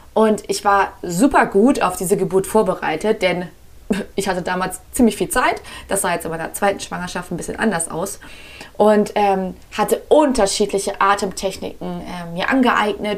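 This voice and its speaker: A woman speaks at a medium pitch with an animated tone. Her pace is moderate and her pitch variation ordinary. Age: 30s. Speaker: podcast host and breathwork coach. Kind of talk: solo podcast monologue.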